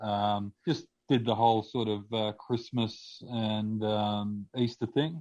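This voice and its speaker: A man with an Australian accent talks at a very slow pace. His pitch is fairly low and his intonation fairly even. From Australia (Victoria). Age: 30s. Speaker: podcast guest sharing testimony. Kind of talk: testimony. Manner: halting, many fillers.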